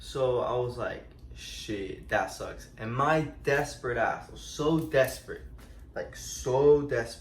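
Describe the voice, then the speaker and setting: Audible room echo carries the man's voice as he speaks at a very slow pace. His loudness swings widely. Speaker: storytime vlogger. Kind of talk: casual storytelling. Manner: halting, many fillers.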